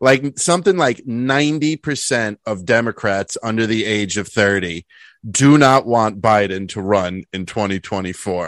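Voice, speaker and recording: A man with an ordinary speaking voice talks in a fairly low register with lively intonation. The sound is dry and close with no echo, over a quiet background. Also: moderate pace. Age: 30s. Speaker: podcast co-host. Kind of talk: casual political chat.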